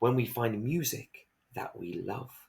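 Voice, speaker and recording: The speaker uses a put-on character voice at a fairly slow pace. Pitch varies in an ordinary way. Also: man. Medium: read story.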